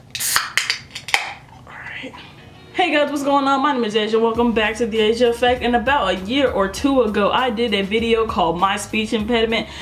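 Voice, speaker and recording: A woman speaks at a fairly quick pace with ordinary pitch variation, amid audible room echo and noticeable background noise. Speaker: youtuber. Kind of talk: casual vlog. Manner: casual.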